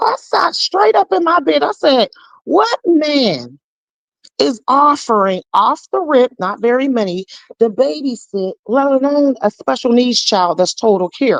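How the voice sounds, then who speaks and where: A woman with a high voice speaks at a fairly slow pace in an animated tone, her pitch swinging very widely, in a dry, close recording with no echo. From Pittsburgh, North View. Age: 40s. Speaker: caller sharing personal story. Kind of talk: testimony.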